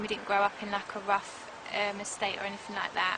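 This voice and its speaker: A woman with a South London accent talks against noticeable background noise. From south London, England (Croydon). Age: 20s. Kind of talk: interview testimony. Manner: hesitant, many fillers.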